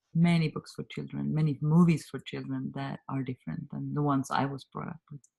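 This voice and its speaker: A woman with a Swedish accent at a fairly quick pace, in a dry, close sound with no echo. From Sweden. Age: 50s. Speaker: communication trainer and author. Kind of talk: interview.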